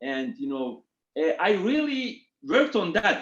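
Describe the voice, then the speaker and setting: A man with a Turkish accent and a high-pitched voice. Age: 40s. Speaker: retail executive. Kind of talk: interview. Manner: halting.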